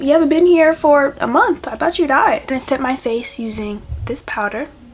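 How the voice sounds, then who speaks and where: Against noticeable background noise, a woman with a high pitch talks at a moderate pace with lively intonation. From US, Haitian-born Caribbean family. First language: Haitian Creole or French. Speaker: lifestyle vlogger. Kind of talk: casual talk while doing makeup.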